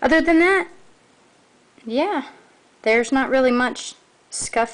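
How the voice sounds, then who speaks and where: Lively intonation from a woman, fairly slow in tempo. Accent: Southern US. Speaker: toy reviewer. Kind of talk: product review. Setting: filmed at home late at night. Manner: halting.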